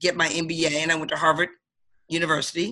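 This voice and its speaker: At a fairly quick pace, a woman speaks with a fairly low pitch. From Detroit, Michigan. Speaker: sales director and motivational speaker. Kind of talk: interview. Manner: energetic.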